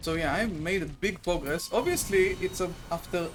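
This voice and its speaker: A man speaks in a high voice with a non-native accent. He talks at a moderate pace over music in the background. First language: not English. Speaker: gaming streamer. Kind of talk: casual gameplay commentary. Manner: casual, with fillers and self-corrections.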